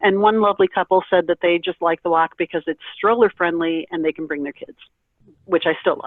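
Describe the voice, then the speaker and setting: A woman with an unremarkable speaking voice, a fairly low pitch, fairly even intonation and a fairly quick pace. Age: 50s. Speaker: kidney transplant recipient and advocate. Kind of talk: presentation on a conference call.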